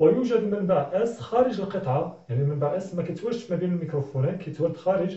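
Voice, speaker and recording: A man with a Moroccan accent at a very fast pace, lively in intonation, with audible room echo and a quiet background. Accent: Moroccan Arabic (Darija). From Morocco. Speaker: physics teacher. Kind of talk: tutorial. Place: classroom. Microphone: camera far.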